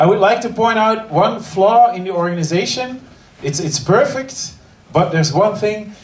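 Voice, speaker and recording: Over noticeable background noise and audible room echo, a man with an Antwerp accent speaks at a fairly slow pace with lively intonation. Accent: Flemish Belgian (Antwerp). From Belgium, Antwerp. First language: Dutch. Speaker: comedian. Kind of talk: stand-up. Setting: stage with audience. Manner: halting.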